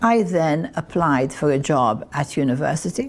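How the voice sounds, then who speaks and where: With a very deep, low pitch, a woman speaks with lively intonation. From Malta. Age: 80s+. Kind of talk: interview. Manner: halting.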